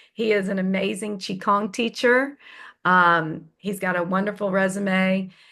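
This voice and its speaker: Speaking at a fairly slow pace over a quiet background, a woman with a Southern US accent keeps to a medium pitch. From US South. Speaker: feng shui consultant and teacher. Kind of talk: online class introduction. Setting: video call.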